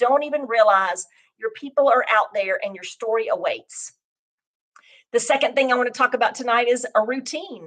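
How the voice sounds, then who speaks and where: A woman speaks in a high pitch with ordinary pitch variation and big swings in loudness. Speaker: life and business coach. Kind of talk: motivational talk. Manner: fast.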